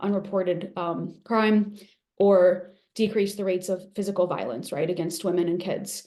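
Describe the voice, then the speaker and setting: A woman's medium-pitched voice with a dark, mellow tone and fairly even intonation, in audible room echo. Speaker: evaluation expert presenter. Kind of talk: webinar lecture. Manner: fast.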